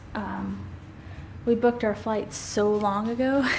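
A woman talks at a very slow pace. Light noise sits in the background. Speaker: family vlogger. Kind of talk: casual vlog chat. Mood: cheerful, upbeat. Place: home room. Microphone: phone near.

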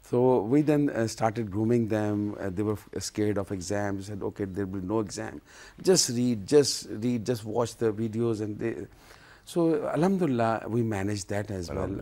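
A man's dark, mellow voice sits at a fairly low pitch, moving at a moderate pace with ordinary pitch variation. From Pakistan. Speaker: university vice-chancellor. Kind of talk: TV interview. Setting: TV studio. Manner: halting. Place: studio. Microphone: lapel.

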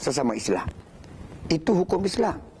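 Noticeable background noise is present. A man with a high pitch speaks using lively intonation. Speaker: religious speaker. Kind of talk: religious talk. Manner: formal.

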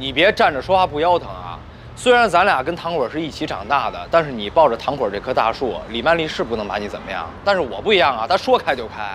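A man talks at a very fast pace with big swings in loudness. There is light background noise behind him. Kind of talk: acted dialogue. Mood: lively, slightly complaining. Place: street.

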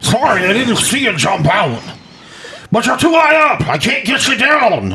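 A man puts on a character voice, pitched extremely high and swinging very widely in pitch, raised and projected at a moderate pace. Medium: fan dub. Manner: rough, slangy, dropping grammar.

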